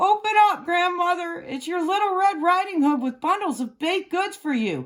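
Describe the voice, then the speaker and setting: At a moderate pace, a woman does a put-on character voice with an extremely high pitch, recorded very cleanly against a silent background. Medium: read story. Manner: sly, wheedling.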